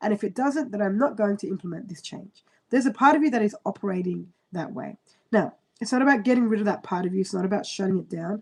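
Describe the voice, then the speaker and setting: Talking at a very fast pace, a woman with a medium pitch sounds somewhat breathy and uses lively intonation. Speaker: astrologer. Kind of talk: live-stream horoscope reading. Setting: live stream on computer.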